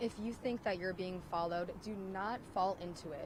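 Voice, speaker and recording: A woman with a somewhat breathy voice keeps a moderate pace and ordinary pitch variation. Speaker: TV news reporter. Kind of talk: TV news report.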